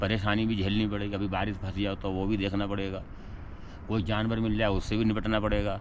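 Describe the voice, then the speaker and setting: Audible room echo surrounds a man's voice. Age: 60s. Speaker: wandering sadhu. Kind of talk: casual interview chat.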